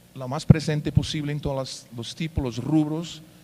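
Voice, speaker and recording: With a Portuguese accent, the speaker has a dark, mellow tone, ordinary pitch variation and a moderate pace. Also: man. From Brazil. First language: Portuguese (speaking Spanish). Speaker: payments company executive. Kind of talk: conference talk. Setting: stage with audience. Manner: hesitant, many fillers.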